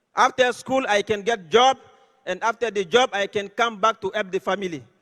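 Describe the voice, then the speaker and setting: A man with an extremely high pitch and an Ivorian accent, in a dry, close sound with no echo. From Côte d'Ivoire. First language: French. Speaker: network marketing leader. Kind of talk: motivational speech.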